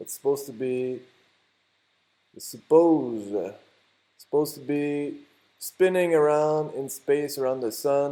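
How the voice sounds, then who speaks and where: A man with a French Canadian accent speaks in a dark, mellow tone at a fairly high pitch. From Quebec. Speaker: YouTuber. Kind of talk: tutorial. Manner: halting.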